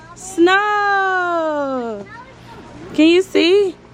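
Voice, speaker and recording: Lively intonation marks this woman's speech, with crowd noise in the background. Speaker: vlogger. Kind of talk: casual vlog.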